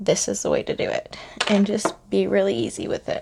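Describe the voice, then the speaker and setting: The speaker is soft-spoken. The pace stays moderate. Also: woman. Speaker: makeup tutorial creator. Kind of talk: tutorial. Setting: at home, evening. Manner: casual.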